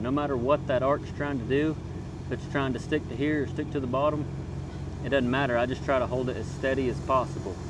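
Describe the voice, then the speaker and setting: A man speaks at a fairly quick pace, the sound dry with no echo, against noticeable background noise. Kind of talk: tutorial. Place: open country. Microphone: phone near.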